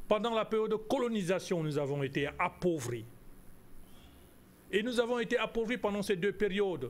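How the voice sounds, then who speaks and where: A man at a high pitch with lively intonation, moderate pace, and long, frequent pauses. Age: 60s. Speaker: geostrategy analyst. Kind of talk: TV interview. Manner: emphatic, indignant.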